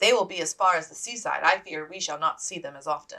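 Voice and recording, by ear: In a put-on character voice, a woman speaks fast with a low pitch and vocal fry. Her tone is bright and sharp. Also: ordinary pitch variation.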